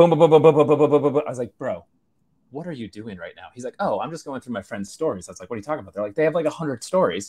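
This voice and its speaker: Against a quiet background, a man with an American accent talks very fast in a dark, mellow voice with vocal fry, lively intonation and big swings in loudness. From US Northeast, New York State. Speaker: social media content specialist; webinar presenter. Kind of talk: webinar presentation. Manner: animated. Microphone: video call.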